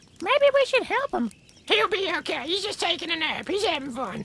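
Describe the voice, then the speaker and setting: A squeaky, put-on character voice at an extremely high pitch makes very wide pitch swings at a moderate pace. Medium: short film. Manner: dopey, casual.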